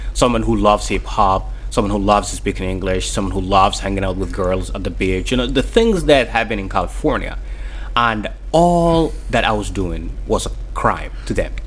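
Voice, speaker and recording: Against noticeable background noise, a man with a Somali accent talks at a moderate pace. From Mogadishu, Somalia. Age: 30s. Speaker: author, refugee and interpreter. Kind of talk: radio interview. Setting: radio studio. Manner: halting, hesitant, repeating words.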